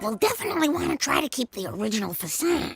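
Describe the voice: A cartoonish character voice rattles along at a very fast pace in a fairly high pitch.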